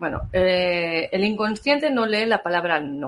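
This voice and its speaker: Her intonation lively, a woman speaks fairly slowly in an unremarkable speaking voice. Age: 50s. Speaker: therapist. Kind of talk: live-stream talk and Q&A.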